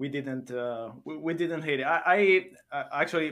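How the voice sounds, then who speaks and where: A man with an Italian accent and ordinary pitch variation. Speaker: podcast host. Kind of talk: casual interview chat.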